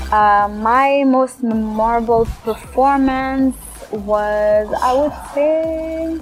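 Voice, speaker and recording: Music plays behind a woman who speaks very slowly at a high pitch with ordinary pitch variation. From Belgium. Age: 20s. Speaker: singer-songwriter. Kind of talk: interview answers.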